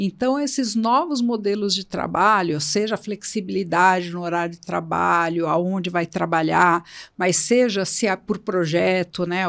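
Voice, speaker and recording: A woman with an ordinary speaking voice talks at a fairly slow pace with lively intonation. The recording is very clean, with a silent background. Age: 60s. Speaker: HR entrepreneur, employability expert. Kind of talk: podcast interview.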